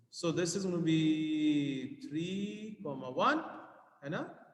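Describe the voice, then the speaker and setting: There is audible room echo around a man speaking in a fairly high pitch. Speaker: maths teacher. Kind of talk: tutorial.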